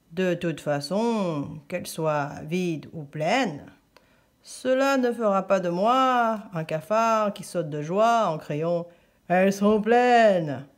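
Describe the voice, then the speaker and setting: This put-on character voice rumbles at a middle pitch and a fairly slow pace. The recording is very clean with a silent background. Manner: sinister.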